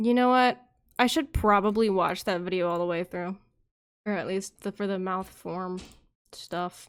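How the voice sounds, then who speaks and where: A quiet woman's voice at medium pitch, ordinary pitch variation and a moderate pace, with long, frequent pauses and a very clean recording over a silent background. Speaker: vtuber rigging live2d models on stream. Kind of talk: casual livestream chat while working.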